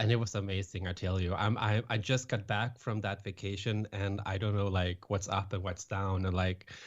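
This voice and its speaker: Over a quiet background, a man with a Swedish accent talks at a moderate pace and fairly low pitch, with monotone, flat intonation, very even loudness and hardly any pauses. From Sweden, west coast near Gothenburg. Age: 30s. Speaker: author and public speaker. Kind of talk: podcast interview. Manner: halting.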